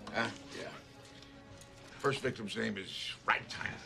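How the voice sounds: A man puts on a character voice with vocal fry, a bright, sharp tone and fairly low pitch. He goes at a slow pace with ordinary pitch variation while faint music plays in the background.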